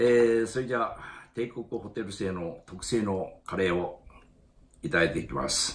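With light background noise behind him, a man speaks at a moderate pace in a fairly low, somewhat breathy voice with lively intonation. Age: 80s+. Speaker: elderly home vlogger. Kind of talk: casual talk to camera. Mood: relaxed, good-humored. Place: home room. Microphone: phone near.

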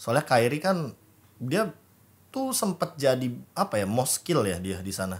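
A man's somewhat breathy voice at a moderate pace, with very wide pitch swings and long, frequent pauses. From Indonesia. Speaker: esports analyst and caster; esports talk show guest or host. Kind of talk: casual chat. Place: studio. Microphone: studio mic.

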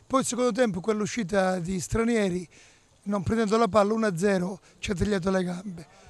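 A man speaks at a moderate pace with a high pitch and ordinary pitch variation. The sound is dry, with no echo. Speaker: football coach. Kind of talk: post-match interview. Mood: resigned, explaining a defeat. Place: stadium. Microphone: handheld.

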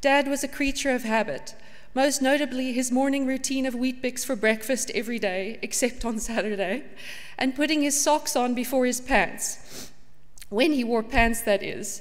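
The woman's pitch is high, her intonation fairly even, and her pace moderate. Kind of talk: eulogy reading. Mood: tender, with light laughter. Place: church.

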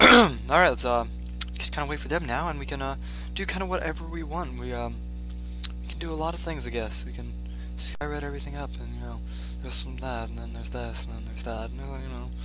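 A man at a very fast pace, dry sound with no echo, clear music in the background. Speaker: gamer. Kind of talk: casual gameplay commentary. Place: home room.

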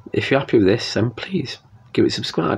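A man talks at a fairly quick pace in a somewhat breathy voice. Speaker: vlogger. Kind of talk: casual vlog chat. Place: home room. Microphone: phone near.

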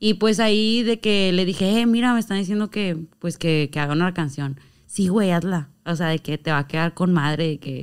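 A woman's fairly low voice at a moderate pace, with ordinary pitch variation against a quiet background. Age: 20s. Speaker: reggaeton rapper and influencer; podcast guest. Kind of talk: casual chat. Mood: playful, animated storytelling. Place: studio. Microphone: studio mic.

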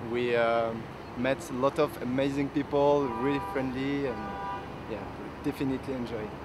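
A man at a moderate pace with long, frequent pauses, a dry sound with no echo, and noticeable background noise. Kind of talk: interview answer. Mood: cheerful, positive. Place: street.

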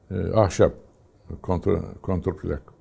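Somewhat breathy and dark, mellow in tone, a man speaks at a fairly slow pace. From Turkey, Istanbul and Aegean region; Turkey. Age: 80s+. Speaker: retired fighter pilot. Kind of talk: oral history interview. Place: home room. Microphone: lapel.

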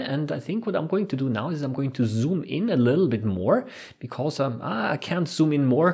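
A man's fairly quick delivery with lively intonation, over a quiet background. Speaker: science educator. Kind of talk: lecture.

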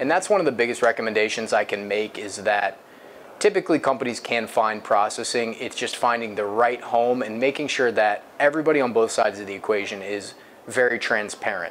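With an American accent, a man talks at a fairly quick pace. His pitch varies in an ordinary way over light background noise. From US Midwest, Akron, Ohio; Ohio. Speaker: payment processing specialist. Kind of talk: interview. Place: office.

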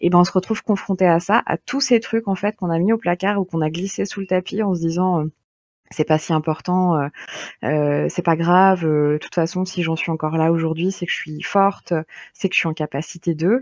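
In a dry, close recording with no echo, a woman with a plain, everyday voice talks at a moderate pace, her fairly low pitch varying an ordinary amount. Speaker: podcast host. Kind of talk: moderated group discussion.

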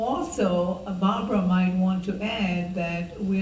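Over light background noise, a woman speaks at a medium pitch. Her intonation is monotone and flat, with audible room echo. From Israel. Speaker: filmmaker; filmmaker on panel. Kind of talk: panel Q&A after a screening. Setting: stage with audience. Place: hall.

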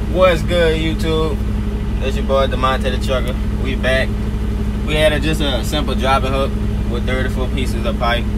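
Loud background noise sits under the speech. The pace is moderate, broken by long, frequent pauses. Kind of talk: casual vlog chat. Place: car. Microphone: phone near.

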